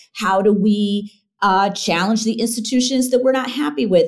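Here is a woman with an American accent and an unremarkable speaking voice. She keeps a moderate pace with lively intonation. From Michigan. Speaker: university dean and sociologist. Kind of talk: interview.

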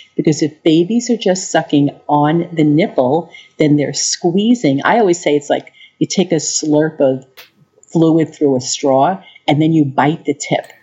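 With an American accent, a woman speaks at a fairly slow pace in a very deep, low voice, using ordinary pitch variation and very even loudness. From US Northeast, Long Island, New York. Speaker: lactation consultant. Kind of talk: interview.

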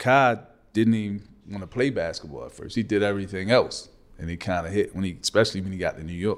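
At a very fast pace, a man with a fairly low pitch and ordinary pitch variation speaks on a very clean recording with a silent background. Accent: American. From Baltimore, Maryland. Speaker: basketball business executive. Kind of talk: interview. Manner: reserved.

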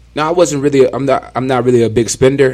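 A man with an American accent talks in a normal speaking voice. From Southern California, Ontario. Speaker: former NFL player. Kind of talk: casual chat.

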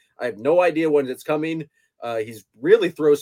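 A man with a fairly high pitch speaks at a moderate pace in a normal speaking voice. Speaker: podcast host. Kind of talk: casual chat.

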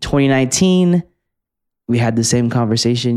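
The man's tone is dark and mellow. His intonation stays lively. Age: 20s. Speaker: podcast co-host. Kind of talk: casual chat.

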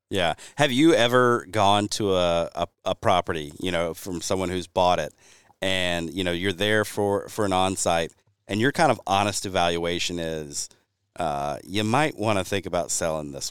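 A man with a Southern US accent and a very deep, low pitch, at a moderate pace with ordinary pitch variation. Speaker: podcast host and habitat consultant. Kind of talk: casual chat.

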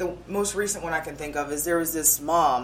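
Enthusiastic and very fast, a woman talks with a fairly low pitch and ordinary pitch variation. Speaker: TV news reporter. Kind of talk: interview. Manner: polished reporter delivery.

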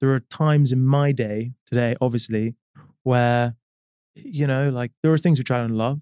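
A speaker with a London accent has a dark, mellow tone, fairly even intonation and very even loudness, recorded dry and close with no echo. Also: man, medium pitch for a man, moderate pace. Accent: British English accent, London. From London, England. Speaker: company CEO. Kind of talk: interview conversation. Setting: studio.

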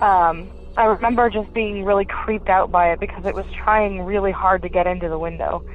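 Over music in the background, a woman with an American accent talks at a fairly quick pace. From Pennsylvania. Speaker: caller. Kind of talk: recorded voicemail story.

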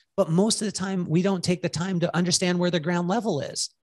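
A high-pitched man with an American accent at a fairly quick pace, over a quiet background. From California, US. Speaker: salon owner and business coach. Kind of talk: casual interview. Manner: fast.

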